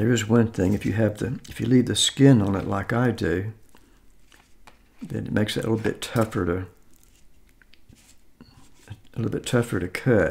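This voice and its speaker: A man talks with vocal fry. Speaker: eating video host. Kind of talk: casual vlog chat. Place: home room. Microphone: phone near.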